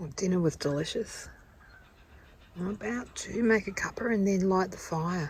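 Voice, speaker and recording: Over noticeable background noise, a woman with an Australian accent speaks at a fairly slow pace. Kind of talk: casual vlog narration. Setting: outdoors in a forest.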